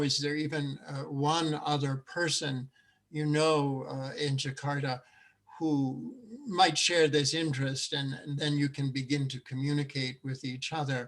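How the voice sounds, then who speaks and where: The man's voice sits at a fairly high pitch. His intonation is monotone and flat, at a fairly slow pace. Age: 70s. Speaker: seminar presenter, CSA advocate. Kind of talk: Q&A answer in online seminar. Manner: halting, many fillers.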